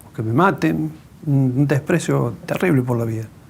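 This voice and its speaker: The speaker is a man. He talks with an Argentine accent. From Argentina, Córdoba. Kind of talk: testimony interview.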